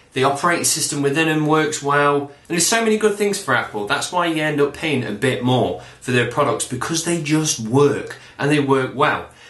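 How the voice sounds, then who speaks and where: Over noticeable background noise, a man with a Nottingham accent talks at a fairly quick pace in a fairly high pitch, with an animated tone and lively intonation. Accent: Nottingham twang. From Nottingham, England. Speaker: YouTube vlogger. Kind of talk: casual rant vlog.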